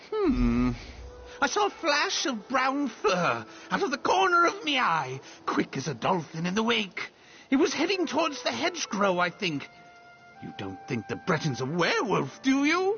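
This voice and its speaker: Clear music plays in the background as a fairly high put-on character voice speaks at a moderate pace. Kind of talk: pirate talk. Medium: machinima.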